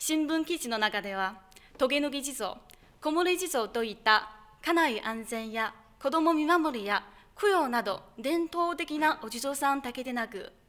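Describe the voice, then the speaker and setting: Speaking with a Chinese accent, a woman uses a high pitch and lively intonation at a fairly slow pace. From China. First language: Chinese (speaking Japanese). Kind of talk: speech contest presentation. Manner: formal.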